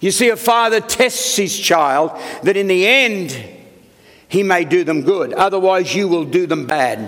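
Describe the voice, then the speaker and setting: Over noticeable background noise, a man with an Australian accent speaks at a high pitch. His intonation is lively and his pace fairly slow. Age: 70s. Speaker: senior pastor. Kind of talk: sermon.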